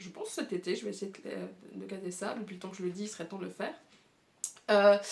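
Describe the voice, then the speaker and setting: A woman speaks at a very fast pace. Her loudness swings widely. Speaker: booktuber. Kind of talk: casual video monologue presenting a reading challenge. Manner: many hesitations and fillers.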